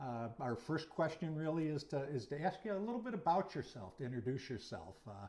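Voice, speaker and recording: Using vocal fry, a man speaks at a moderate pace with a fairly high pitch and very wide pitch swings. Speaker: history channel interviewer, former student. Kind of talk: interview. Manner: hesitant, many fillers.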